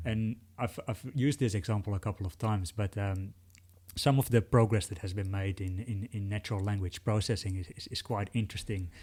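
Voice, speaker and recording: At a fairly quick pace, the voice has a dark, mellow tone, sounds somewhat breathy, and shows ordinary pitch variation. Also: man, fairly low pitch for a man. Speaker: journalist and podcast interviewer. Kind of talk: podcast interview.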